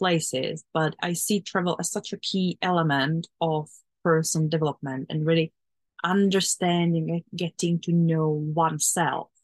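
A woman talks at a moderate pace, her voice dry and close with no echo over a quiet background. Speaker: podcast host. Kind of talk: casual interview chat.

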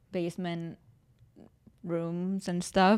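Fairly slow and fairly low-pitched, a woman with an unremarkable speaking voice keeps her intonation fairly even. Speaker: musician, podcast host. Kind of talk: casual chat. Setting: video call.

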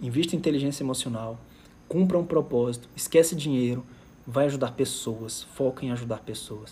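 The tone is dark and mellow, and the voice is somewhat breathy. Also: man. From Fortaleza, Ceará, Brazil. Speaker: emotional intelligence coach. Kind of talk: live stream talk. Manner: animated.

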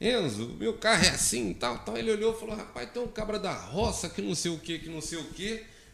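Noticeable background noise sits behind a man whose pitch is high and swings very widely. He talks at a fairly quick pace with hardly any pauses. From Brazil, Minas Gerais. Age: 40s. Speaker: solar energy entrepreneur. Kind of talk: casual interview. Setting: studio, live stream. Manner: halting, many fillers.

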